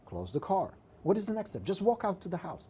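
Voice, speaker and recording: A man with a Czech accent and a dark, mellow tone speaks at a fairly quick pace on a very clean recording with a silent background. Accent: Czech accent, reduced from thick. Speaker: real estate coach. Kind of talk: live stream coaching tips. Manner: animated.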